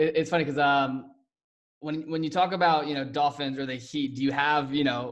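A man uses a normal speaking voice at a fairly high pitch with fairly even intonation. He talks at a fairly quick pace over a quiet background. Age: young. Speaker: podcast host. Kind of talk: casual interview. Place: home room. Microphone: studio mic.

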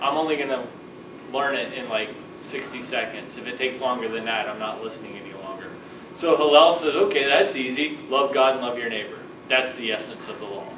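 A man talks at a fairly quick pace with ordinary pitch variation and big swings in loudness. There is audible room echo and light background noise. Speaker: lecturer. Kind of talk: lecture. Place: classroom. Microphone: camera far.

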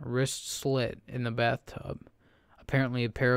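Just a natural reading voice

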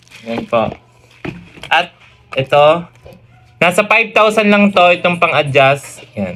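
A man with a high pitch and lively intonation talks at a very slow pace with long, frequent pauses, over noticeable background noise. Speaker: comedy vlogger. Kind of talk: comedic vlog, unboxing.

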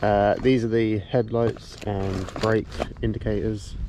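Against noticeable background noise, a man with a fairly low pitch comes through in a dry sound with no echo. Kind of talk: casual vlog chat. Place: open country. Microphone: phone near.

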